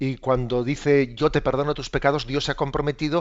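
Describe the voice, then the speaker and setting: The man's pitch is fairly high. He keeps a moderate pace. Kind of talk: religious radio catechesis. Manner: hesitant, with fillers and repetitions.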